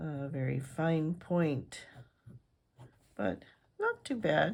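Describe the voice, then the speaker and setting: Lively intonation and vocal fry mark this very slow delivery, captured in a very clean recording with a silent background. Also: woman. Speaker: fountain pen reviewer. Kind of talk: product review. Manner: casual, hesitant with fillers.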